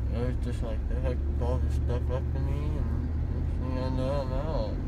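Speech at a moderate pace amid loud background noise. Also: man. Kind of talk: casual groggy chat. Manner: groggy, numb-mouthed post-surgery speech. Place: car. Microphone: phone near.

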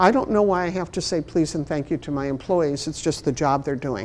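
A woman speaks with a Chicago accent. Her intonation is lively. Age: 60s. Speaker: library management trainer and consultant. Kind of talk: workshop presentation. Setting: stage with audience, also streamed online. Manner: humorous, conversational. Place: meeting room.

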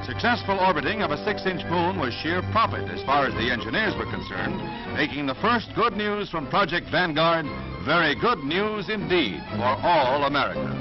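Fairly quick speech over clear background music. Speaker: newsreel announcer. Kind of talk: 1950s newsreel narration. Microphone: old recording.

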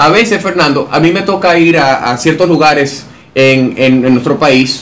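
With lively intonation, a man speaks. His pace is moderate. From Dominican Republic. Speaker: interviewer and analyst. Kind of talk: interview. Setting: office. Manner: formal. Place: studio. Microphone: studio mic.

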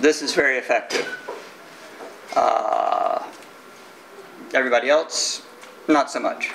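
A man with an American accent speaks at a fairly slow pace, pausing long and often. Light background noise can be heard. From Texas. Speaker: IT security engineer. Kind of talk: conference talk. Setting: stage with audience. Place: meeting room. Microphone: camera far.

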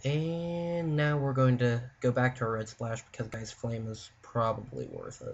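Somewhat breathy, a man speaks at a fairly slow pace with ordinary pitch variation. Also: medium pitch for a man. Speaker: Magic: The Gathering player. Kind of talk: card game draft commentary. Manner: casual, hesitant.

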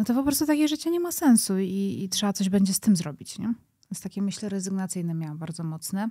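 Against a quiet background, a woman with a dark, mellow, somewhat breathy tone speaks at a very fast pace with lively intonation. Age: 30s. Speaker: podcast creator. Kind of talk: interview conversation. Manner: halting. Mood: reflective, personal, candid. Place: studio. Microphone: studio mic.

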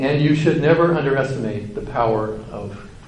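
The speaker talks at a moderate pace with an American accent, amid noticeable background noise and audible room echo. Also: man. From US West Coast, Santa Clara County, California. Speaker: university administrator and engineer. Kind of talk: lecture. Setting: conference luncheon with audience.

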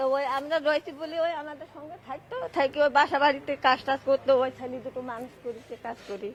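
Over noticeable background noise, a woman talks at a high pitch with fairly even intonation and big swings in loudness. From Bangladesh. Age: old. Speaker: undocumented migrant interviewee. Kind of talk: street interview.

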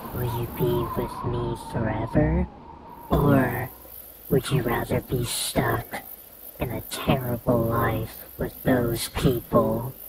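In a cartoonish character voice, a man speaks at a medium pitch and a very slow pace. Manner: seductive, manipulative.

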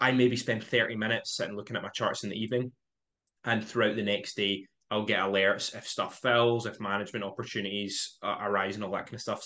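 The man's voice has a bright, sharp tone and fairly even intonation. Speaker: podcast guest. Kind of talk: interview answer. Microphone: video call.

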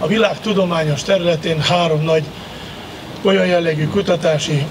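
Speaking at a moderate pace with a fairly high pitch, a man keeps a monotone, flat intonation over noticeable background noise. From Hungary. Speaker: university rector and former Olympian; speaker. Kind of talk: ceremonial speech. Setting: outdoors. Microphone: podium.

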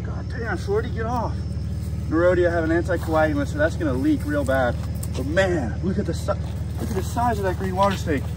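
A man speaking at a fairly quick pace, dry sound with no echo, noticeable background noise behind him. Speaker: snake hunter vlogger. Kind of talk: casual vlog chat. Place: open country. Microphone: phone near.

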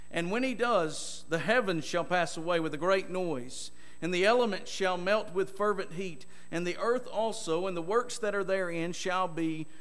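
High-pitched male speech with normal variation in pitch. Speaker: preacher. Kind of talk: sermon. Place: church. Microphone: podium.

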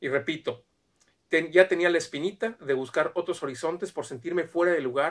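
The speaker is a man with a high pitch. The background is quiet. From Mexico. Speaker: immigration consultant. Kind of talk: video monologue. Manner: halting, many fillers. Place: home room. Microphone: camera far.

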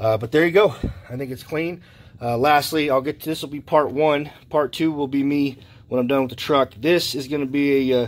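The speaker is a man at a fairly quick pace. His intonation stays fairly even. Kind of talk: casual vlog tutorial. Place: garage. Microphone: phone near.

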